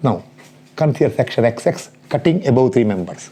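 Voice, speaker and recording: At a moderate pace, a man speaks in a dark, mellow tone with vocal fry and very wide pitch swings. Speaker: engineering lecturer. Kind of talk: lecture.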